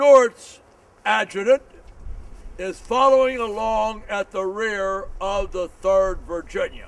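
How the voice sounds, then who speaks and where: At a very slow pace, a man with an American accent talks at a high pitch with ordinary pitch variation. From Montana, USA. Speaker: historian. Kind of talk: history tour talk. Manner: dynamic.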